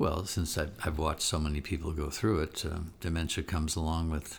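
A man's very deep, low, somewhat breathy voice with fairly even intonation at a moderate pace, in a very clean recording with a silent background. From Israel. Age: 70s. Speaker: podcast co-host, filmmaker. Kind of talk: casual chat.

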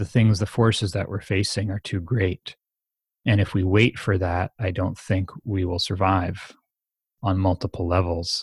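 Somewhat breathy, a man with an American accent speaks at a fairly slow pace in a very deep, low pitch, with a dry, close sound and no echo. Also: fairly even intonation, very clean recording, silent background. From United States. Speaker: meditation teacher and author. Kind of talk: interview conversation.

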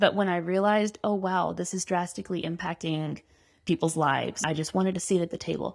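A woman speaks at a medium pitch with an American accent and fairly even intonation, in an unremarkable speaking voice. The recording is very clean, with a silent background. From Arkansas, US South. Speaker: political candidate. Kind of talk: casual interview.

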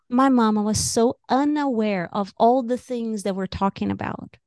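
A woman with a Brazilian accent speaks at a fairly high pitch, using ordinary pitch variation. The sound is dry and close with no echo, over a quiet background. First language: Portuguese. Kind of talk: casual interview chat.

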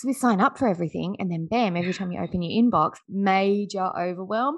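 A woman with an Australian accent speaks at a very fast pace and with lively intonation against a quiet background. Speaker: business strategist and podcast host. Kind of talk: interview. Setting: remote call.

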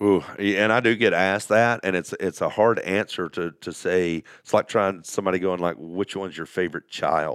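A man with a very deep, low pitch and a Southern US accent speaks with fairly even intonation on a very clean, dry, close recording with a silent background and no echo. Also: moderate pace. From US South, Alabama. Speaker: off-road community founder. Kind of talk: casual chat. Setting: studio.

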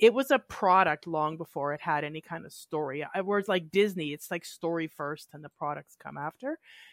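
Dry and close with no echo, a woman with a Canadian accent speaks in a normal speaking voice at a fairly low pitch and fairly quick pace, with lively intonation and big swings in loudness. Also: hardly any pauses, very clean recording, silent background. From northern British Columbia, Canada. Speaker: board game designer. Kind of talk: casual chat.

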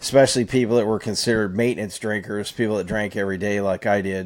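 An ordinary speaking voice with an American accent and fairly even intonation. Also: man. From California, Fresno. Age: 50s. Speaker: recovering alcoholic. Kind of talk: casual chat.

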